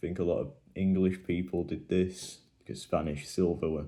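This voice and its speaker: Speaking fairly slowly, a man with a very deep, low pitch has a dark, mellow tone and fairly even intonation. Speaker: coin collecting youtuber. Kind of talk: casual show-and-tell commentary. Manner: monotone.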